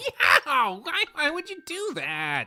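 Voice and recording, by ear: Over faint music in the background, a man does a put-on character voice at an extremely high pitch, slow in pace, with a bright, sharp tone and very wide pitch swings.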